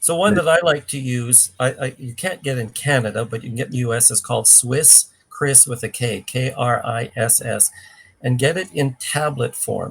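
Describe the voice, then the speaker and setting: A man talks in a normal speaking voice at a medium pitch. His pace is moderate, with ordinary pitch variation. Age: 60s. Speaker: cleanse program expert. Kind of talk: live Q&A.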